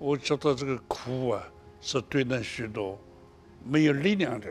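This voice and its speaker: Faint music plays in the background while a man speaks at a fairly slow pace. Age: 80s+. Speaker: Buddhist monk. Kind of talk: interview answer. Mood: warm, cheerful. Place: studio. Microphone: lapel.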